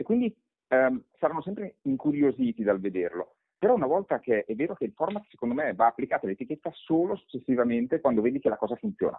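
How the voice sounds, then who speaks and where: Racing along at a very fast pace, a man with a fairly high voice makes very wide pitch swings. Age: 40s. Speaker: personal branding expert and author. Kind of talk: interview.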